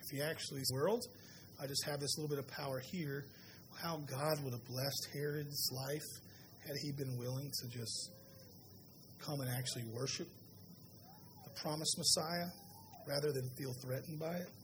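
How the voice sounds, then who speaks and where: A man with an American accent speaks at a moderate pace in a fairly high voice, his intonation fairly even, with long, frequent pauses, noticeable background noise and audible room echo. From US South. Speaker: pastor. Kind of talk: sermon.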